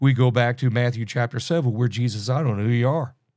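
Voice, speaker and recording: A man talks at medium pitch with a dark, mellow tone. The recording is very clean, with a silent background. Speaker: podcast host and Bible teacher. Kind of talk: Bible teaching podcast. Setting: solo podcast recording.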